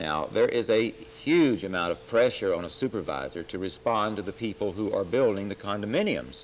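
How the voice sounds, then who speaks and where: A man's plain, everyday voice, fairly low in pitch, at a fairly quick pace with an American accent. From Texas. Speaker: city politician, former minister; guest. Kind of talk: interview. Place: studio. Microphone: lapel.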